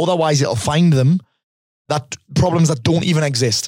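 The somewhat breathy voice moves at a fairly quick pace with ordinary pitch variation, in a dry, close sound with no echo. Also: man. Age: 40s. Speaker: life coach and podcaster. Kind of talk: casual interview. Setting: in person. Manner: fast.

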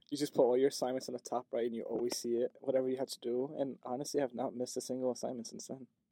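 A man with a dark, mellow tone and medium pitch talks at a very fast pace with hardly any pauses and fairly even intonation. The sound is dry and close with no echo. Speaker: college student. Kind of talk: casual chat.

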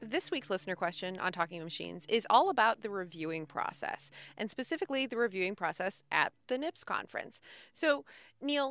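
In a very clean recording with a silent background and a dry, close sound with no echo, a woman speaks at a fairly quick pace in a bright, sharp tone, her fairly high pitch swinging very widely. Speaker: podcast host. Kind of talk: interview.

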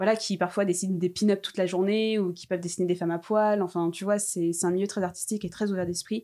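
The recording is very clean, with a silent background. A dark, mellow tone comes at a very fast pace with fairly even intonation. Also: woman. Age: 20s. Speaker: podcaster and Instagram account creator. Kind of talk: casual chat.

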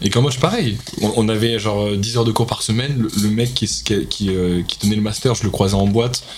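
Over noticeable background noise and audible room echo, a man talks at a fairly quick pace. His pitch is fairly low and his intonation fairly even. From Paris, 12th arrondissement. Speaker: singer and rapper. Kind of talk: casual chat.

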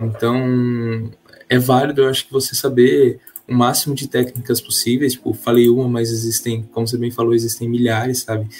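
This man talks at a moderate pace in a monotone, flat delivery with medium pitch. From São Paulo state interior (Marília), Brazil. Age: 20s. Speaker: engineering student, junior enterprise president. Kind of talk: casual podcast interview.

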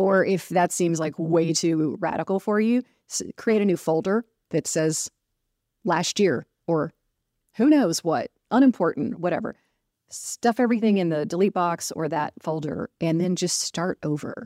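This woman has a normal speaking voice, fairly low in pitch, with ordinary pitch variation, at a fairly slow pace. The very clean recording has a silent background and a dry, close sound with no echo. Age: 50s. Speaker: strengths coach and podcast co-host. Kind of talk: casual podcast chat. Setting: hotel room, recording together in person.

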